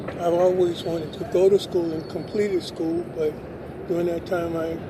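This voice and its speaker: There is audible room echo and noticeable background noise as a man speaks at a moderate pace. His high voice stays monotone and flat. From US West, Los Angeles. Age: 60s. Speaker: adult high school graduate. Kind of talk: interview. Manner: halting.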